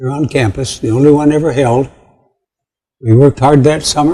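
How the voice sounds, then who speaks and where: This man's voice has a dark, mellow tone and a fairly high pitch. It is somewhat breathy. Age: 80s+. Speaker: retired education professor, community foundation founder. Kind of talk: casual conversation at an honoring event. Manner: halting, repeats words.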